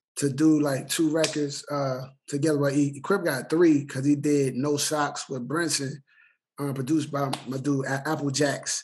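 A fairly high-pitched man with a monotone, flat intonation at a moderate pace. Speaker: rapper and web show host. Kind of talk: casual group interview chat.

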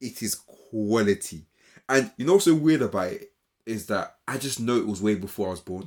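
Lively intonation and big swings in loudness mark this voice. It speaks with a London accent at a moderate pace. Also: man, medium pitch for a man. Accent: London British. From Britain, Ghanaian heritage. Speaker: podcast co-host. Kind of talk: casual chat.

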